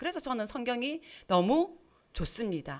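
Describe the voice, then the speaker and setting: A woman speaks at a moderate pace in a high voice with very wide pitch swings. The recording is very clean, with a silent background. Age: 60s. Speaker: lay preacher, church deacon. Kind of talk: sermon. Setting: church with congregation. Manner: interactive, asks congregation questions.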